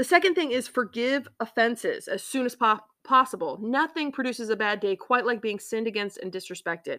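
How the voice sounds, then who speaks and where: A woman's high, bright, sharp voice with lively intonation on a very clean recording with a silent background. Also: fairly quick pace, hardly any pauses. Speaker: podcast host. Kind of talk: solo devotional podcast talk. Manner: sarcastic tone.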